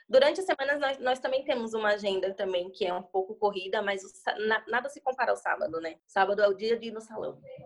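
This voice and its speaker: Very fast speech from a woman, fairly high in pitch and with ordinary pitch variation. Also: big swings in loudness. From Bahia, Brazil. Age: 20s. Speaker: hairdresser and salon owner. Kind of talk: casual interview.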